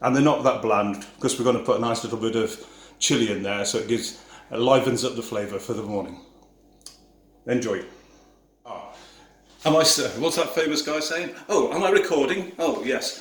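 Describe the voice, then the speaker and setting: With audible room echo, a man of medium pitch speaks with lively intonation and long, frequent pauses. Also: moderate pace. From Yorkshire, northern England. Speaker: tour operator. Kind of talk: cooking tutorial. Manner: casual, chatty.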